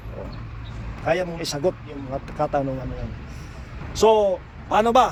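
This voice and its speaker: Big swings in loudness, a fairly slow pace and lively intonation, with long, frequent pauses and noticeable background noise. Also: man, fairly high pitch for a man. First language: Cebuano (Bisaya) (speaking Tagalog). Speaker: pipe welder and vlogger. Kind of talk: casual advice vlog. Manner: halting.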